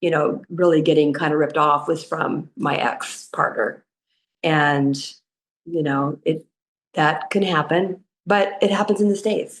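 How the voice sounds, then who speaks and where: A woman speaks at a fairly slow pace in a Californian accent, her pitch very deep and low. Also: ordinary pitch variation. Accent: Californian American English. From US West Coast, southern California. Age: 60s. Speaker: expat retiree. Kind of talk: interview conversation. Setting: podcast recording.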